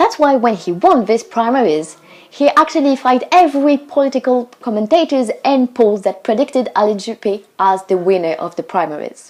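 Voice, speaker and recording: Noticeable background noise accompanies a woman speaking at a fairly quick pace, high in pitch and with very wide pitch swings. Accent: French. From France. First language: French. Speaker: student vlogger. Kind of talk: casual explainer video. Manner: animated.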